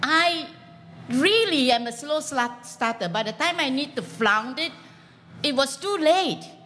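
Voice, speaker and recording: A woman speaks in a raised, projected voice at a high pitch, with an animated tone and very wide pitch swings. Her pace is fairly slow, with long, frequent pauses. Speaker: comedian, former lecturer. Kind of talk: stand-up comedy. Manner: animated, self-deprecating. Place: stage.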